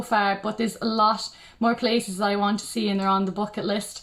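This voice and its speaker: A woman's fairly high pitch in monotone, flat intonation. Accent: western Irish. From Ireland, County Mayo. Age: 20s. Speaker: beauty pageant contestant. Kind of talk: self-introduction. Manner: hesitant, with many ums.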